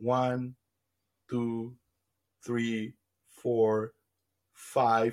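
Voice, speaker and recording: A man talks with a Spanish accent. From Colombia. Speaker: AI computer scientist. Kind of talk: interview conversation.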